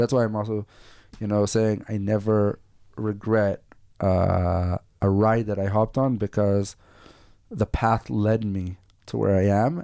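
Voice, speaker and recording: A man speaks with a fairly low pitch, fairly even intonation, and a dark, mellow tone. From northern Israel. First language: Hebrew. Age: 40s. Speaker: entrepreneur. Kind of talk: interview. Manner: halting.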